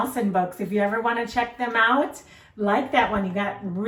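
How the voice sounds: A natural reading voice carries a mostly level intonation.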